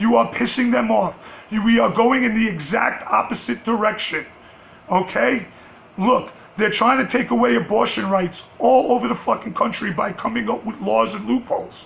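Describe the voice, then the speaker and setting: Someone with a New York accent speaks at a moderate pace with ordinary pitch variation. Noticeable background noise runs underneath. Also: man, high pitch for a man. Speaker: vlogger. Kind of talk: rant. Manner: loud, rising pitch when passionate; animated.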